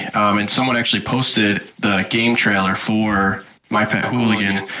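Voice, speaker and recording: With an American accent, a man speaks at a moderate pace in a fairly low, monotone, flat voice of very even loudness, over noticeable background noise. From US, central New York State. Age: 20s. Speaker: community member interviewee. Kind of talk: casual interview.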